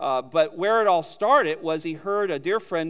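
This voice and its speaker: A man with an American accent has an unremarkable speaking voice and ordinary pitch variation. He speaks at a fairly slow pace. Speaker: seminary teacher. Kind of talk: introduction. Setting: church.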